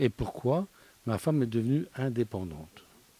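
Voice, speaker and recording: A man speaks in a dark, mellow tone at a medium pitch. His intonation is lively. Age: 60s. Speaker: studio guest. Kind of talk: casual discussion.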